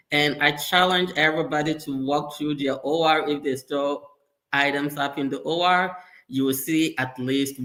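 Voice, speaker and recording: A man's bright, sharp tone at a fairly slow pace, with fairly even intonation. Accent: slight Ghanaian. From Ghana. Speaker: sterile processing leader. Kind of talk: interview.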